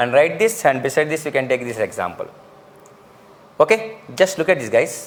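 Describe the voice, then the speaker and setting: A man with an ordinary speaking voice keeps a moderate pace at a fairly high pitch. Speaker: lecturer. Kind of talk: lecture. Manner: repetitive.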